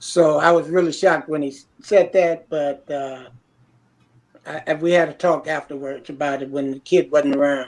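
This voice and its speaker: A man with a fairly high pitch speaks at a moderate pace, with big swings in loudness. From Los Angeles, California (born Detroit). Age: 60s. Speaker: former gang member telling history. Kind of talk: interview. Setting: video call live stream. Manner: articulate.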